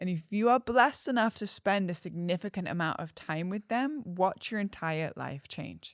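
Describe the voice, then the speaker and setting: With an English accent, a woman talks in an animated tone at a moderate pace, her pitch swinging very widely, in a dry, close recording with no echo and a silent, very clean background. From England. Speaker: astrologer and artist. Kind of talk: podcast conversation.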